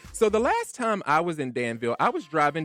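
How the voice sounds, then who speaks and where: Music in the background behind a man with an American accent, fairly high in pitch, moderate in pace, with very wide pitch swings. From Virginia. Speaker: radio show host. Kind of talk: casual chat.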